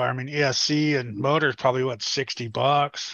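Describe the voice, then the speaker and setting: A man speaks at a fairly slow pace with monotone, flat intonation. The sound is dry with no echo, over a quiet background. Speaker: panel regular on live RC hobby stream; live show host. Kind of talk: casual chat. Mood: relaxed, chatty. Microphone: headset.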